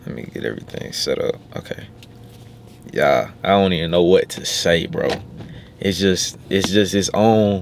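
A man at a moderate pace with long, frequent pauses and big swings in loudness, dry with no echo, over light background noise. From US South, Arkansas. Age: 20s. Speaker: YouTuber; vlogger. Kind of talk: casual vlog. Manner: animated.

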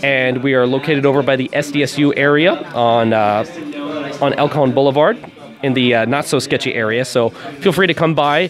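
The intonation stays fairly even. Music plays in the background. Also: man. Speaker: comic studio representative. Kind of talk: interview answer. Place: shop. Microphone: handheld.

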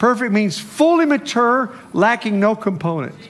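A man is speaking at a fairly slow pace. His intonation is lively. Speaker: preacher. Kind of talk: sermon. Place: church.

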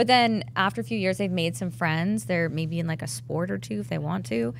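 Somewhat breathy speech moves at a fairly quick pace with very wide pitch swings. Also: woman. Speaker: fitness apparel entrepreneur. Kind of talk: casual chat.

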